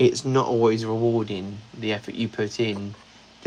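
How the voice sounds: The speaker reads in a natural reading voice with fairly even intonation.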